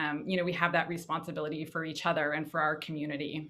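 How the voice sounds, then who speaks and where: Very fast speech in an American accent, with fairly even intonation. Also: woman. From Davis, California. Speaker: panelist, former educator. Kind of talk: panel discussion.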